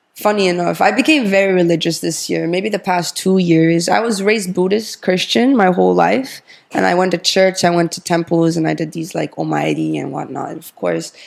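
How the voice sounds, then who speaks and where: A woman talks at a fairly quick pace with hardly any pauses. Noticeable background noise is present. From Japan and Czech Republic. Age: 20s. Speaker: fashion model and pageant winner. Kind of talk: interview. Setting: in person in Tokyo.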